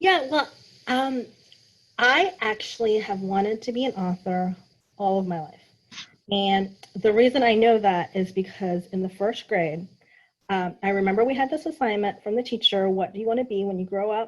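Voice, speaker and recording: A woman with a General American accent at a medium pitch, with ordinary pitch variation and a moderate pace. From US Midwest, small town in Kansas. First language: Thai. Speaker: author. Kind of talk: interview.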